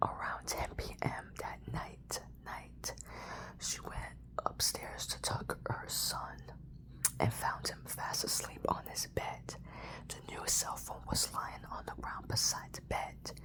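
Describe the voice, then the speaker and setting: A very slow whisper with noticeable background noise around it. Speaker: ASMR YouTuber. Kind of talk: scary story reading. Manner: soft-spoken, whispery.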